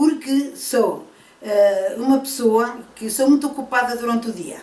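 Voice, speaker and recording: There is noticeable background noise as a woman with a fairly high pitch talks with ordinary pitch variation. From Portugal, Trás-os-Montes. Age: 70s. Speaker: senior university student. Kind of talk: interview.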